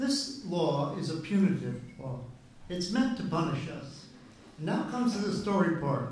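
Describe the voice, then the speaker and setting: A man talks at a moderate pace with a high pitch and very wide pitch swings. Noticeable background noise and audible room echo fill the recording. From Netherlands. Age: 70s. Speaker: public commenter at town board meeting. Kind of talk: storytelling at public hearing. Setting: town board meeting. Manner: halting.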